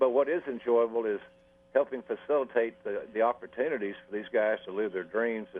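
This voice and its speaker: A man talks at a fairly quick pace with a medium pitch. His is an ordinary speaking voice. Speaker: wrestling announcer and talent development consultant. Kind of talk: radio interview answer.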